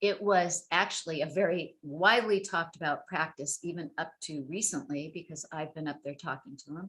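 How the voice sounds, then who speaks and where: In a plain, everyday voice, a woman speaks at a moderate pace and a fairly low pitch with ordinary pitch variation, big swings in loudness and hardly any pauses. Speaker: sex worker rights advocate. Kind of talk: webinar presentation.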